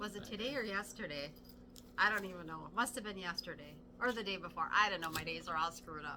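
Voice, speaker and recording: Here a woman talks at a very fast pace. Her pitch is medium, with ordinary variation. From Wisconsin, US Midwest. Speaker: cross-stitch video co-host. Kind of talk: casual chat.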